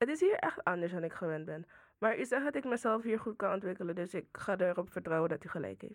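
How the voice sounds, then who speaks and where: Talking at a very fast pace, a woman with medium pitch and lively intonation comes through on a very clean recording with a silent background. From Suriname. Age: 20s. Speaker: student interviewer. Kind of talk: interview.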